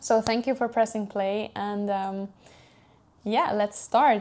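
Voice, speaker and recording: A medium-pitched woman's voice in a Swiss-Italian accent, at a moderate pace with fairly even intonation, against a quiet background. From Switzerland. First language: German or Italian. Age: 20s. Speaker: podcast host. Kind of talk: casual personal monologue. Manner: warm, soft, hesitant with fillers.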